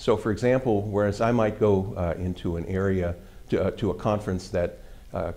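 A man's very deep, low voice carries a dark, mellow tone and fairly even intonation. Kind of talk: interview answer.

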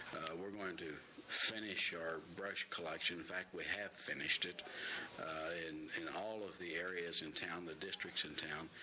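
A man with a low voice speaks at a moderate pace and a fairly even intonation over clear background noise.

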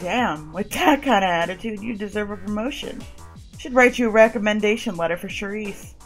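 Over clear background music, a put-on character voice booms out gravelly words at a fairly quick pace. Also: woman, medium pitch for a woman. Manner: confident, friendly, laid-back.

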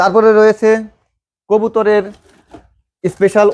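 Dry and close with no echo, the sound carries a man's voice. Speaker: farm supplies seller. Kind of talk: product demonstration and sales pitch.

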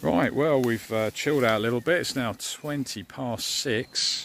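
The pitch varies in an ordinary way, and the sound is dry with no echo. Light background noise can be heard. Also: man. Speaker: camping vlogger. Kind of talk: casual vlog chat. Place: forest. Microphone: phone near.

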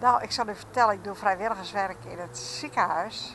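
A woman speaks at a moderate pace, her pitch swinging very widely. Light background noise sits behind her. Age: 80s+. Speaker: local resident interviewed on the street. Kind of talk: casual street interview. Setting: outdoors on the street. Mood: cheerful, smiling storytelling. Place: station. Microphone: handheld.

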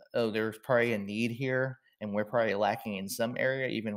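A man's normal speaking voice with a fairly low pitch and fairly even intonation, on a very clean recording with a silent background. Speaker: marketing executive. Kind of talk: interview.

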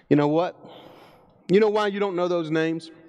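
A man speaks with a Southern US accent at a fairly quick pace. The background is quiet. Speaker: preacher. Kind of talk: sermon. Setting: church. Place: church.

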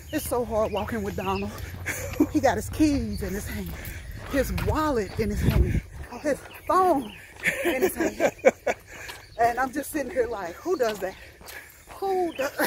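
Fairly slow speech with long, frequent pauses, a dry sound with no echo and noticeable background noise. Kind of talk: casual vlog chat. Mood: playful teasing. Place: street.

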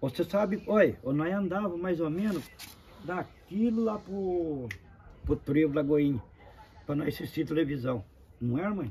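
A fairly high-pitched man with lively intonation, at a fairly slow pace with long, frequent pauses, over noticeable background noise. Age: 50s. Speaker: uncle telling family history. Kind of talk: oral history interview.

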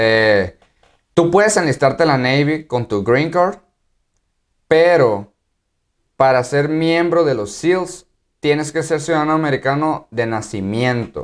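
The speech moves at a fairly slow pace with long, frequent pauses and lively intonation, with a Mexican accent. The background is quiet. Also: man. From Mexico. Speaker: YouTuber and active-duty Marine; YouTuber. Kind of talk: casual vlog explainer. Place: home room.

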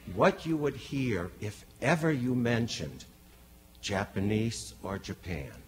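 Over light background noise, a man with an American accent talks very slowly with vocal fry and very wide pitch swings. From Boston. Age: 60s. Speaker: invited speaker, son of a rabbi; speaker, son of a rabbi. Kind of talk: lecture. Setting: stage with audience. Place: hall. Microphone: podium.

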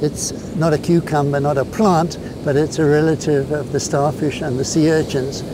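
A man is speaking over noticeable background noise. The sound is dry, with no echo. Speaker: presenter. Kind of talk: tutorial. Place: beach.

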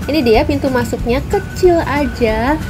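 A woman speaking at a fairly slow pace over clear background music. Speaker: food vlogger. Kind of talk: casual vlog tour commentary. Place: street. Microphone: phone near.

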